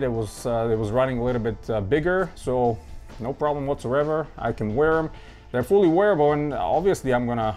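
Faint music plays in the background while a man speaks at a fairly quick pace with ordinary pitch variation. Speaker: sneaker collector reviewer. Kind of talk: casual product review chat. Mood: enthusiastic, relaxed. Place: home room.

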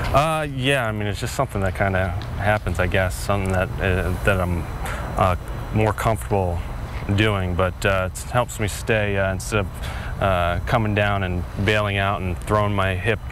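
A man's voice comes through with a dry sound and no echo, over noticeable background noise. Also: fairly low pitch for a man, moderate pace. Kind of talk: interview answer. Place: stadium.

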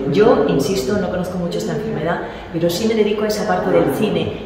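A woman's very fast speech with ordinary pitch variation, amid noticeable background noise and audible room echo. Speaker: guest. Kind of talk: interview answer. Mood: warm, earnest appeal. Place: hall.

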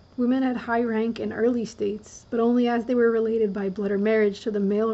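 A woman speaks softly at a fairly high pitch. Her intonation stays monotone and flat. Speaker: reader. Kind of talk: audiobook-style reading of a nonfiction book, ASMR. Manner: soft-spoken. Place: home room.

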